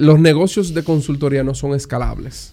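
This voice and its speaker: A man talks with fairly even intonation. His tone is dark and mellow. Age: 30s. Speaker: entrepreneur and investor. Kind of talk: interview. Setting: at home.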